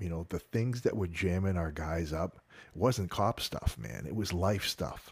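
A man with a very deep, low voice and a Boston accent, speaking fairly slowly with ordinary pitch variation, on a very clean recording with a silent background. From Boston North Shore, Massachusetts. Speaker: retired sheriff's officer, author and speaker. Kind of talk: interview.

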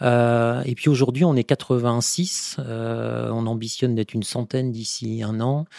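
A man at medium pitch, very slow pace, fairly even intonation, and hardly any pauses. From France, Vendée. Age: 50s. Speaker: food company marketing director. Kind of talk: interview. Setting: company offices. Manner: hesitant, many fillers.

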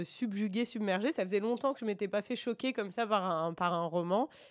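A woman at medium pitch and a fairly quick pace. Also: hardly any pauses, very clean recording, silent background. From France, Bordeaux. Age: 40s. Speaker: radio administrator and book reader guest. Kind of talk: interview about a book. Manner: hesitant, many fillers.

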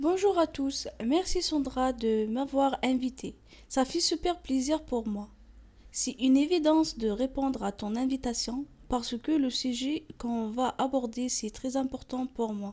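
With a non-native accent, a woman speaks at a fairly slow pace in a high pitch and a dark, mellow tone. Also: ordinary pitch variation. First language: not French (speaking French). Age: 20s. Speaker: store manager. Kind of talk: testimony. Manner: halting.

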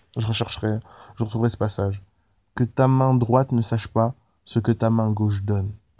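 A man with a medium-pitched voice talks at a moderate pace in a flat monotone, with long pauses coming often. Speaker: preacher. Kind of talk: devotional Bible teaching, preacher-style sermon. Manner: earnest, exhorting, direct appeals to the listener; casual, conversational, with hesitations.

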